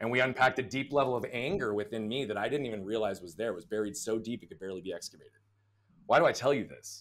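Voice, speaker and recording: A loud man at medium pitch, talking at a very fast pace. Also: ordinary pitch variation. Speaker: business coach. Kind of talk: interview.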